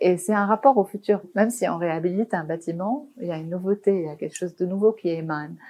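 A woman with a medium pitch and ordinary pitch variation speaks at a very fast pace with hardly any pauses. Her loudness swings widely. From Lebanon, Beirut. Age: 40s. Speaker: architect. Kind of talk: interview. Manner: halting.

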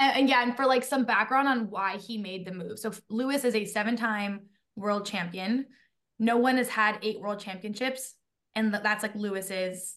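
A woman with a normal speaking voice, fairly high pitch, fairly even intonation, and a moderate pace. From grew up abroad, mostly UK, moved to US 2007. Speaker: podcast co-host, guest. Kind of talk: casual chat.

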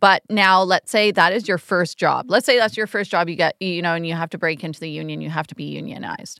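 On a very clean recording with a silent background and a dry, close sound with no echo, a woman talks very fast with hardly any pauses, her fairly low voice bright and sharp with vocal fry. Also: ordinary pitch variation. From Canada. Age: middle-aged. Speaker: choreographer. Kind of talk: casual chat.

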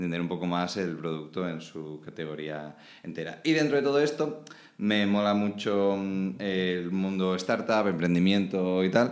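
A man's very deep, low voice with lively intonation, at a fairly slow pace amid audible room echo. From Spain, Alicante (Valencian region). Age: 20s. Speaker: start-up operations manager, industrial designer. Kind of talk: casual chat.

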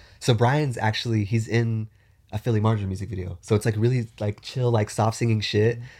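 In a very clean recording with a silent background, a man speaks at a fairly quick pace, somewhat breathy and with a monotone, flat intonation. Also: medium pitch for a man. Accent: American. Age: 30s. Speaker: content creator and musician. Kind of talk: casual chat.

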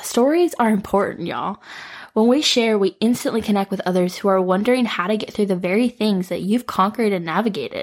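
A woman's fairly high, normal speaking voice in an American accent, fairly quick, with ordinary pitch variation. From US Midwest, Metro Detroit. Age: 20s. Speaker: podcast host. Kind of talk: solo podcast monologue. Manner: warm, casual, with frequent laughs.

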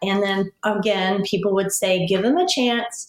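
A woman at medium pitch speaks at a moderate pace in an unremarkable speaking voice, with ordinary pitch variation. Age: 40s. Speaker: fitness professional sharing a dating story. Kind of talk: personal testimony in casual interview.

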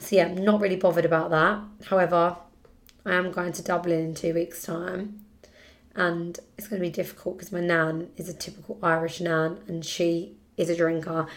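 Speaking at a moderate pace with a British accent, a woman uses a fairly low pitch and a flat, monotone intonation while her loudness swings widely. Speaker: podcast host. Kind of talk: casual chat.

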